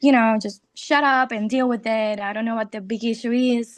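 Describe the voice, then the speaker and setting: A woman with a Spanish accent speaks fairly slowly in a fairly high pitch, with fairly even intonation and a quiet background. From Puerto Rico. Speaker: audience member asking a question. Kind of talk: question at lecture Q&A. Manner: halting, many fillers.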